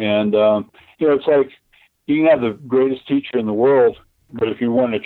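A man with an American accent uses a normal speaking voice at medium pitch and a fairly quick pace. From Texas. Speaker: martial arts grandmaster and retired police officer. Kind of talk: interview. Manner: casual, with frequent fillers.

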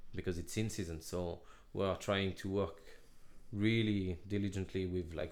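A man speaks with a French accent at a moderate pace. His very deep, low voice holds a monotone, flat intonation. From Laval, northwest France. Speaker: head chef. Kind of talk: casual interview chat.

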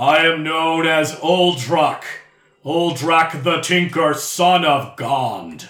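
Using a put-on character voice, a man speaks very slowly at a fairly high pitch. His intonation is fairly even, with a slight echo.

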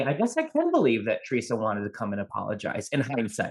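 A man speaks at a fairly quick pace in an enthusiastic tone, his voice somewhat breathy. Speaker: podcast host. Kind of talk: casual chat.

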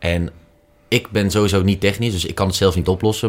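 A man with an unremarkable speaking voice talks at a fairly quick pace in a fairly low pitch, his intonation fairly even, on a very clean recording with a silent background. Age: 20s. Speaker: commercial manager. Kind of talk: casual interview.

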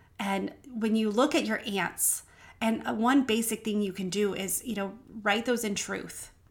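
A woman speaks at a fairly slow pace with vocal fry, a fairly high pitch, and ordinary pitch variation. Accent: American. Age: 40s. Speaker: podcast host. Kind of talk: faith-based motivational monologue.

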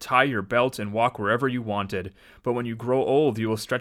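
What's heard here is plain reading aloud.

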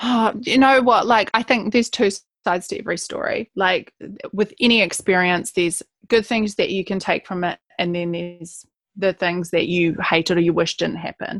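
A moderate pace in a New Zealand accent, the sound dry and close with no echo. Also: woman, medium pitch for a woman, ordinary pitch variation. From New Zealand, West Coast. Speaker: writer and speaker. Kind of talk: interview.

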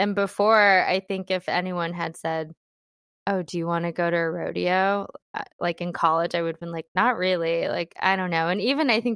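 Recorded with a dry, close sound with no echo over a quiet background, a woman with a normal speaking voice and an American accent talks at a moderate pace in a fairly low pitch with ordinary pitch variation. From US Midwest, Cleveland, Ohio. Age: 30s. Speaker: podcast guest. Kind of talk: casual chat.

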